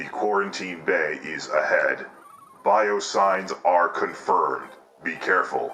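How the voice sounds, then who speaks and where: A man puts on a character voice with a very deep, low pitch. He talks at a fairly slow pace. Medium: game stream. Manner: flat, commanding.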